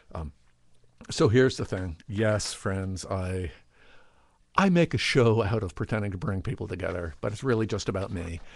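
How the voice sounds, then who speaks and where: The speech has long, frequent pauses. The voice is somewhat breathy. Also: man, fairly low pitch for a man, ordinary pitch variation. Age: 60s. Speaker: video blogger. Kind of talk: casual monologue to camera. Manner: halting, many false starts; fast.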